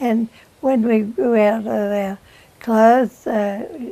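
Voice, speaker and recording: Against noticeable background noise, a woman with a fairly high pitch talks at a very slow pace, her intonation fairly even. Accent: Australian. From Queensland, Australia. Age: 80s+. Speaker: oral history interviewee. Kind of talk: reminiscence. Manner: halting.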